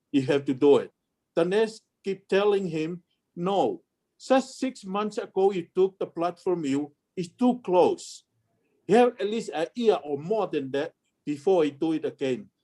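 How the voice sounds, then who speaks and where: Speaking at a fairly slow pace with a Tongan accent, a man uses lively intonation in a high, dark, mellow voice, recorded with a dry, close sound and no echo. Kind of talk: family history storytelling. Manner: casual, conversational.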